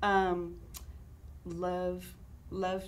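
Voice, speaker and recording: There is audible room echo in this clip. The voice belongs to a woman. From San Francisco, Mission District. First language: Spanish. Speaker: salsa business owner. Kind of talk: interview. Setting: studio.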